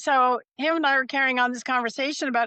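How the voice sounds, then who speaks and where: A woman's raised, projected voice with an American accent, high-pitched with a bright, sharp tone, ordinary pitch variation and a fairly quick pace, in a dry, close sound with no echo over a quiet background. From Nevada, US West. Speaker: animal communicator. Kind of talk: interview storytelling. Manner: casual, anecdotal.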